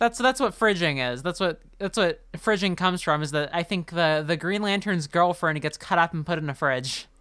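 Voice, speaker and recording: An unremarkable speaking voice with lively intonation goes at a moderate pace with hardly any pauses on a very clean recording with a silent background. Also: woman, fairly low pitch for a woman. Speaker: podcast host. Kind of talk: casual chat.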